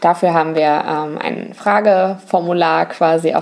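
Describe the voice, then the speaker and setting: Background noise is noticeable. A woman speaks at a fairly low pitch. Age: 20s. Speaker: travel podcast co-host. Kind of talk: casual chat.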